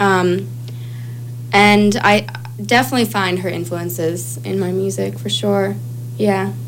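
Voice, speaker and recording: Amid noticeable background noise and audible room echo, a woman with an American accent speaks at a fairly slow pace with long, frequent pauses. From Chicago. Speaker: singer-songwriter. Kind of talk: casual chat. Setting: studio.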